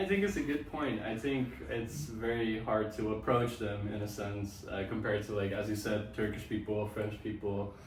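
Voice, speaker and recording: Noticeable background noise and audible room echo surround a man's voice. He speaks at a moderate pace, fairly low in pitch, with fairly even intonation. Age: 20s. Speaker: interviewee. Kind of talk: casual chat.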